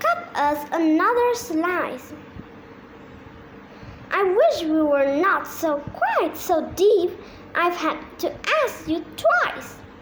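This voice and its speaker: A woman in a put-on character voice at an extremely high pitch speaks at a very slow pace with lively intonation and long, frequent pauses over clear background noise. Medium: read story.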